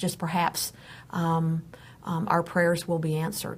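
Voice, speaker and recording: The voice moves at a moderate pace. It sounds somewhat breathy. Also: woman. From Texas. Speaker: pet advocate and first responder. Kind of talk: live show discussion.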